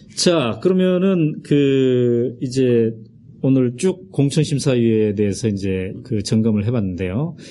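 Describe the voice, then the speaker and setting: A man talks at a very slow pace with lively intonation. His voice sits at a medium pitch with a dark, mellow tone. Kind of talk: interview.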